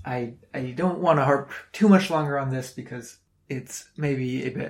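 At a moderate pace, a man with a normal speaking voice, a fairly high pitch, and an American accent talks with big swings in loudness. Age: 20s. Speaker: climate podcast host. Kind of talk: solo commentary podcast. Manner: frequent fillers and repetitions.

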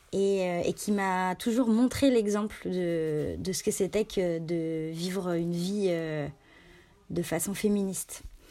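Over a very clean recording with a silent background, a woman speaks at a very slow pace in a dark, mellow tone with medium pitch and ordinary pitch variation. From France, Annecy (Rhône-Alpes). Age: 30s. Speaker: journalist and magazine founder. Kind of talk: interview. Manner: halting, many repetitions and fillers.

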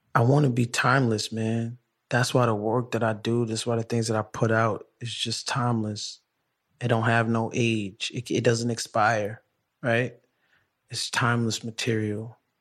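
Male speech against a quiet background, moderately paced. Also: medium pitch for a man. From Brooklyn, New York. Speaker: podcast host, guest interviewee. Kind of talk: casual interview. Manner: animated.

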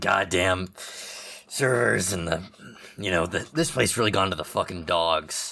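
Using a put-on character voice, a man sounds raspy and very deep and low in pitch, with ordinary pitch variation. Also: moderate pace. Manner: gruff, complaining.

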